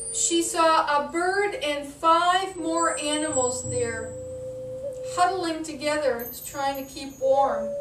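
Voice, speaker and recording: A woman's high voice at a very slow pace, with ordinary pitch variation and noticeable background noise. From Northeastern North America, Wabanaki. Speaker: storyteller. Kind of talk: traditional story telling.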